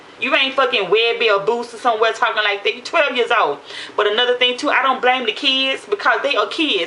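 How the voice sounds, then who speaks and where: A woman talks in an animated tone with lively intonation. Noticeable background noise sits behind her. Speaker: vlogger. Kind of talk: casual monologue to camera. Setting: at home after a shower. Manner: fast.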